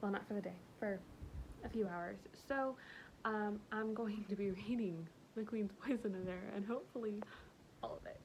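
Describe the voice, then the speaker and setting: A woman's medium-pitched voice at a moderate pace, with ordinary pitch variation, long, frequent pauses and noticeable background noise. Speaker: book vlogger. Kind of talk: casual talk to camera.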